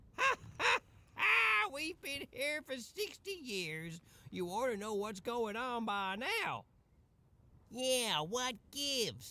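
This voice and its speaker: A man puts on a character voice with an extremely high pitch and very wide pitch swings. He talks very slowly, with long, frequent pauses. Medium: video game. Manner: chuckling, folksy.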